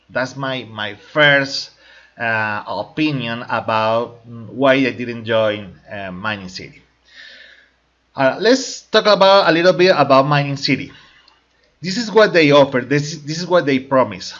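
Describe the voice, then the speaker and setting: A man with a Spanish accent speaks at a fairly slow pace. His pitch swings very widely and his loudness varies a lot. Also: medium pitch for a man. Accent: Spanish-speaking accent in English. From Colombia. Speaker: crypto network marketing promoter. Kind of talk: opinion video monologue. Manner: halting, with fillers and repetitions.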